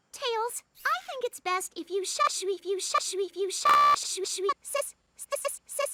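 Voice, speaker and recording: A put-on character voice squeaks at an extremely high pitch. It moves along at a fairly slow pace. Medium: cartoon.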